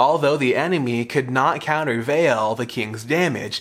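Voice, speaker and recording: A man with a plain, everyday voice speaks at a moderate pace and medium pitch, his intonation lively. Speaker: youth pastor and podcast host. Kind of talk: Bible teaching podcast, with scripture read aloud. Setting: studio podcast recording. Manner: formal, measured reading of scripture in a steady cadence; explanatory, earnest.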